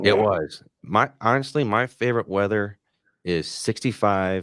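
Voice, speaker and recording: A man speaks in an unremarkable speaking voice, fairly slow and fairly low in pitch, with ordinary pitch variation. The recording is very clean, with a silent background. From Michigan. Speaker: podcast host. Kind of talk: casual chat. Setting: live streamed podcast.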